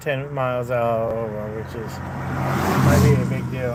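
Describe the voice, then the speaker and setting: With audible room echo and noticeable background noise, a man speaks at a fairly slow pace, at a medium pitch with fairly even intonation. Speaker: vlogger. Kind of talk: casual vlog talk. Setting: in a car, pulled over.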